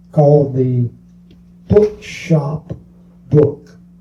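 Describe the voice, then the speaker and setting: With a Southern US accent, a man talks in a fairly high pitch while music plays in the background. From US South, Mobile, Alabama. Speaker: bookstore owner. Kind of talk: interview.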